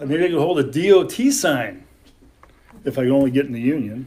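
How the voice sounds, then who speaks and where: A man with an American accent speaks at a fairly high pitch. His intonation is lively and his pace moderate. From California. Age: 60s. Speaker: storyteller. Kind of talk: storytelling. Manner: animated.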